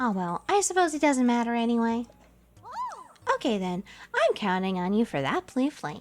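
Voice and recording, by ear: A woman does a strained, put-on character voice, fairly high in pitch, at a moderate pace. Faint music plays in the background.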